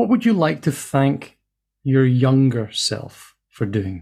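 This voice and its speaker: A man's dark, mellow, somewhat breathy voice at a medium pitch and a very slow pace. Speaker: podcast host. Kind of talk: interview.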